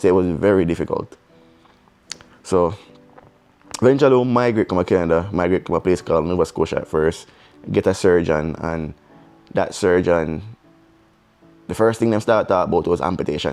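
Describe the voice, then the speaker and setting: With music in the background, a man with a Jamaican accent and a very deep, low pitch speaks at a fairly quick pace, using ordinary pitch variation and long, frequent pauses. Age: young. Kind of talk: casual storytime talk to camera.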